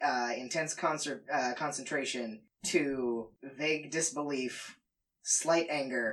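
Ordinary pitch variation shapes an unforced reading voice set against a quiet background.

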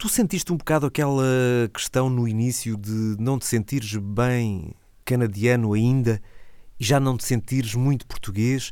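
The tone is dark and mellow, with ordinary pitch variation at a moderate pace. The recording is very clean with a silent background. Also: man, medium pitch for a man. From Portugal, Alentejo (Santiago do Cacém). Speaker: radio host. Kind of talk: casual chat.

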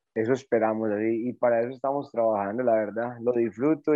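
A man with an ordinary speaking voice talks at a fairly quick pace, medium in pitch and with fairly even intonation. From Colombia, Antioquia (Caldas). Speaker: mountain bike coach. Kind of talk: interview.

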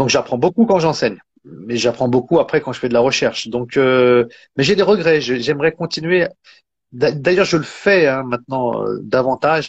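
A man with an unremarkable speaking voice and medium pitch talks at a moderate pace with lively intonation over a quiet background. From France. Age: 40s. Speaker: Islamic teacher and author. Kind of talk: interview. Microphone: phone held by hand, mic unplugged.

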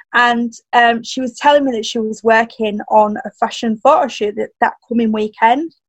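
Fairly high-pitched woman with a Yorkshire accent, moderate in pace and fairly even in intonation, hardly any pauses, in a dry, close sound with no echo. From northern England. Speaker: personal stylist and coach. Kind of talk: casual interview chat.

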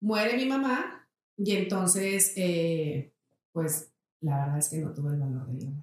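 This woman has an ordinary speaking voice with a fairly low pitch. She talks at a fairly slow pace with lively intonation. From Mexico, Saltillo. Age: 40s. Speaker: entrepreneur. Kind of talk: interview.

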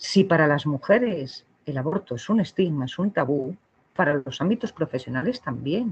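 Her voice very deep and low, a woman sounds somewhat breathy, with very wide pitch swings. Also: moderate pace. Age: 40s. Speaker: psychologist at abortion clinic. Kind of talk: interview. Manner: halting, repeats words.

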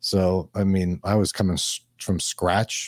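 A man's very deep, low voice with a dark, mellow tone and a New York accent, dry and close with no echo, on a very clean recording with a silent background. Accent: New York accent, noticeable. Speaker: financial advisor. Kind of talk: interview.

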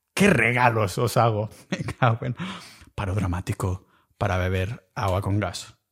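A man's fairly slow, somewhat breathy speech at a fairly low pitch with ordinary pitch variation, the sound dry and close with no echo in a very clean recording with a silent background. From Catalonia. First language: Catalan (speaking Spanish). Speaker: podcast host. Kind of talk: solo podcast monologue. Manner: casual, animated.

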